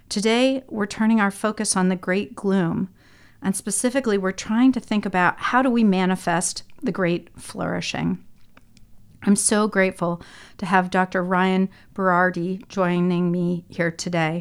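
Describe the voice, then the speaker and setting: An unremarkable speaking voice at a moderate pace with fairly even intonation, in a very clean recording over a silent background. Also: woman, medium pitch for a woman. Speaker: podcast host. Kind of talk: interview conversation, podcast.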